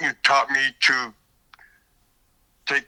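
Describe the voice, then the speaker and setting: A man's bright, sharp tone at a fairly slow pace, dry and close with no echo, in a very clean recording with a silent background. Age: 60s. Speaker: former prisoner. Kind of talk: interview. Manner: halting.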